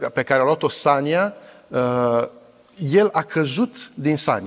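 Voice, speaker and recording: There is a quiet background as a man talks at a fairly slow pace. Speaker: pastor. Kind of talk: sermon. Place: church. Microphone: lapel.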